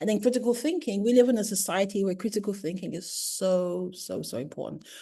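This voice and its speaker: Through audible room echo, a woman speaks at a fairly quick pace and medium pitch in a dark, mellow tone with lively intonation. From UK. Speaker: primary educator. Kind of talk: webinar lecture. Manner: fast.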